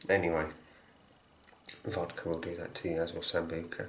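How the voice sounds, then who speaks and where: A quiet man's very deep, low voice amid noticeable background noise and audible room echo. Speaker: shaving product reviewer. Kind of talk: product review tutorial.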